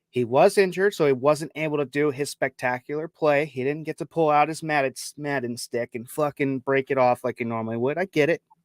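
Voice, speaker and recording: A man with a Chicago accent speaks at a fairly quick pace, his fairly high pitch showing ordinary variation. The sound is dry and close, with no echo. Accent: Chicago accent, affects pronunciation of D's. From Chicago, US Midwest. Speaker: sports podcast host. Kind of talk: casual sports talk with stats. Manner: stumbles over names.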